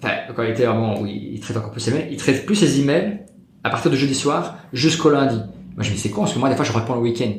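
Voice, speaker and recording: With lively intonation and a medium-pitched voice, a man talks very fast amid audible room echo and noticeable background noise. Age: 30s. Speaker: property investor. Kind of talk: interview.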